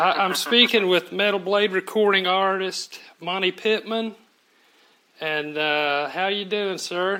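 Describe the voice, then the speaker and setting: Using a raised, projected voice, a man with a Southern US accent speaks at a high pitch in a bright, sharp tone with fairly even intonation. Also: fairly slow pace. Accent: Southern drawl, sounds redneck. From Oklahoma City. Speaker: music journalist. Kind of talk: interview.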